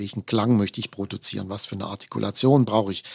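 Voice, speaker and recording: A fairly low-pitched man speaks with vocal fry and ordinary pitch variation. The sound is dry and close, with no echo. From Baden, southwest Germany (Offenburg). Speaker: principal oboist in an orchestra. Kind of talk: interview conversation.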